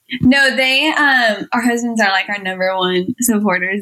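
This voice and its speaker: A woman of medium pitch, a plain, everyday voice, with an American accent. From US Midwest, Iowa. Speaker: mom and online community co-founder. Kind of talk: interview.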